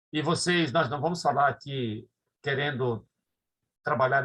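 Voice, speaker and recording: A man's fairly high, bright, sharp voice at a moderate pace, with ordinary pitch variation. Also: long, frequent pauses. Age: 60s. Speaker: pastor. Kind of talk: lecture. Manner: halting.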